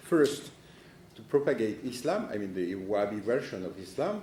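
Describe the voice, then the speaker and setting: A man with a strong French accent, in audible room echo. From France. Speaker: political analyst. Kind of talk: conference talk. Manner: halting.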